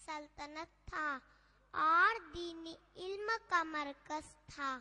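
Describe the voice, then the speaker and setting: A woman's high-pitched voice at a very slow pace. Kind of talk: formal Urdu-flavoured storytelling. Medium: stage play. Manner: measured, solemn.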